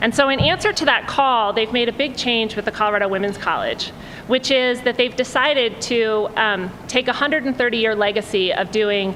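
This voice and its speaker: Noticeable background noise runs beneath a woman speaking at a moderate pace. Her voice is fairly high in pitch, with ordinary pitch variation. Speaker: college dean, event speaker. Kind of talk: welcome speech. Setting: lecture hall with audience. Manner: loud, projecting. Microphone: audio problems at the start, told to stay close to the mic.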